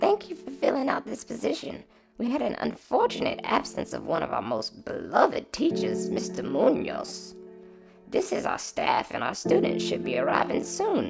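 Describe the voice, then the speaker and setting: A man uses a raspy, put-on character voice. He talks at a moderate pace over clear music in the background. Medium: read story.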